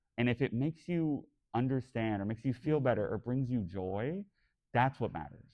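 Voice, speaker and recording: A man with an animated tone and ordinary pitch variation. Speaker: podcast host and convention panelist. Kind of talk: convention panel discussion. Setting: stage with audience at a fan convention. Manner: camp, expressive delivery.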